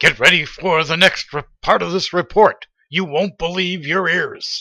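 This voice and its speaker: A man uses a put-on character voice pitched high, speaking at a moderate pace with fairly even intonation. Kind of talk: announcer. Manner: condescending.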